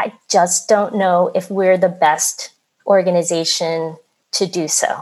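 Speaking at a very slow pace, a woman with a Philadelphia accent keeps her intonation fairly even. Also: medium pitch for a woman. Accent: American, Philadelphia. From US Northeast, Philadelphia. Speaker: oral history editor. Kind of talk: interview. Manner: halting.

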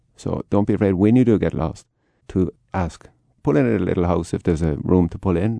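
A man with an Irish accent speaks at a fairly quick pace in a very deep, low pitch with ordinary variation and a dark, mellow tone, the sound dry and close with no echo. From Ireland. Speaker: Irish travel expert. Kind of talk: radio interview.

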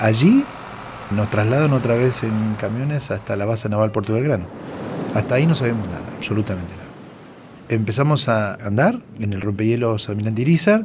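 Noticeable background noise sits behind a man talking fairly quickly. His pitch is medium, with ordinary variation. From Argentina, Córdoba province. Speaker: war veteran. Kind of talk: interview testimony.

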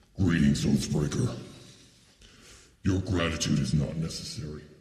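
A man growls in a put-on character voice with a very deep, low pitch. He keeps a moderate pace, and there is a slight echo. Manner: menacing, formal.

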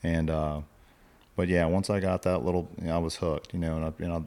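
Speaking with an American accent, a man uses a very deep, low pitch and a monotone, flat intonation at a fairly quick pace. The recording is very clean, with a silent background. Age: 40s. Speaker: fishing guide. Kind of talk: casual interview. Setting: home studio.

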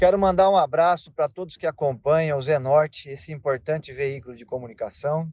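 With a plain, everyday voice, a man talks at a fairly quick pace in a fairly high pitch, with hardly any pauses and big swings in loudness. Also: ordinary pitch variation. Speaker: mayoral candidate, politician. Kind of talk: campaign statement.

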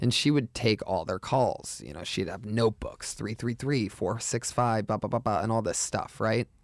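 In a very clean recording with a silent background, an ordinary speaking voice with an American accent moves at a fairly slow pace with ordinary pitch variation and hardly any pauses. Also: man, medium pitch for a man. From Youngstown, Ohio. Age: 30s. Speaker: comedian. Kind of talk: casual chat.

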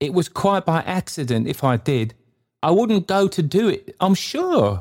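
A man performs a put-on character voice at a high pitch, with big pitch swings and a slightly mellow tone at a fairly slow pace. The recording is very clean, with a silent background.

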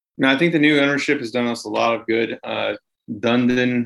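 This man has a normal speaking voice with an American accent, a medium pitch, and fairly even intonation. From US, Washington DC area. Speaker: radio and podcast host. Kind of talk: casual sports chat.

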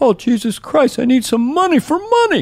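Someone uses a put-on character voice pitched high. The delivery is at a moderate speed. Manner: grumpy, complaining, pleading for money.

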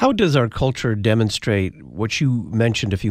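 Very cleanly recorded against a silent background, a man with a plain, everyday voice and fairly low pitch speaks at a fairly quick pace. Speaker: radio host. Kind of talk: radio interview. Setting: studio.

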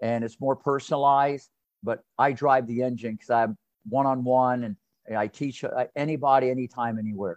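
This is an American accent. The audio is close and dry, without any echo. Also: man. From US Midwest, southwestern Ohio. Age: 60s. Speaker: tennis coach. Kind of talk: interview. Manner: animated; fast.

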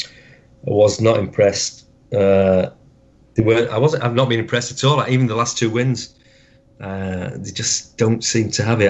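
At a moderate pace, a man with a Yorkshire accent talks in a fairly low pitch with fairly even intonation. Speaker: football fan. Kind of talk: interview.

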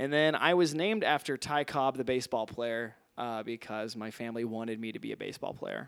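A plain, everyday voice: a man of medium pitch with an American accent talks at a fairly quick pace, with hardly any pauses and ordinary pitch variation. The recording is very clean, with a silent background. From Missouri. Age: 20s. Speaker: comedian. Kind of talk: casual chat.

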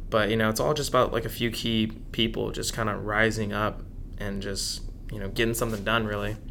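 A man with an American accent speaks fairly quickly in a fairly low, flat monotone with vocal fry. His tone is bright and sharp, and room echo is audible. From Dallas, Texas. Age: 20s. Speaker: chef and food truck owner. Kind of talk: interview.

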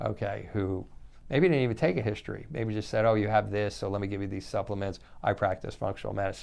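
Against a quiet background, a man speaks very fast at a fairly low pitch with vocal fry and ordinary pitch variation. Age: 60s. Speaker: chiropractor and functional medicine practitioner. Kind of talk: educational talk. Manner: halting, many repetitions and fillers.

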